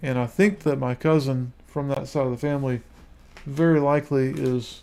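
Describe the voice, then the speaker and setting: A man with an American accent speaks at a moderate pace. His fairly high voice has a dark, mellow tone. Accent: Southern redneck. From US South, Lower Alabama. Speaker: YouTuber. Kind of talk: live stream monologue. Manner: halting.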